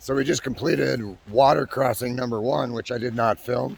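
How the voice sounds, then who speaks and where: Fairly quick speech from a man, ordinary in pitch variation, with noticeable background noise. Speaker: backpacking vlogger. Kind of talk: outdoor vlog narration. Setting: outdoors on hiking trail.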